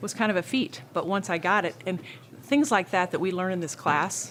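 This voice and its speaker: With lively intonation, a woman talks at a moderate pace in a normal speaking voice. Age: 50s. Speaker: gym member, former triathlete. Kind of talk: interview testimony.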